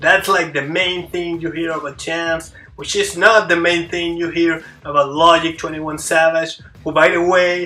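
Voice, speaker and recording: Over noticeable background noise, a man with a non-native accent speaks in a high voice. His intonation is monotone and flat, and his pace is moderate. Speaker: YouTuber, hip hop commentator. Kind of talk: solo video essay, media analysis. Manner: halting, many fillers and restarts.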